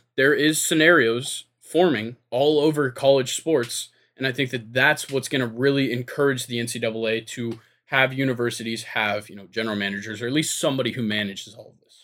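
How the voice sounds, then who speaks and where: In a plain, everyday voice, a man of medium pitch talks at a fairly quick pace with ordinary pitch variation and big swings in loudness, on a very clean recording with a silent background. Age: 20s. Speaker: sports podcast host, college student. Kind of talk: casual chat.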